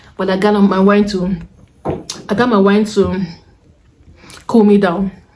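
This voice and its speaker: Against noticeable background noise, a woman speaks fairly slowly in a medium pitch with monotone, flat intonation. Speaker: vlogger. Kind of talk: casual vlog talk. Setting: indoors at home, windows closed.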